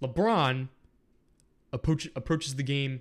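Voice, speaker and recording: A man's fairly high voice at a fairly slow pace, on a very clean recording with a silent background. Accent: American. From Ohio, Canton area. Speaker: sports podcast host. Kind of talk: solo sports commentary podcast.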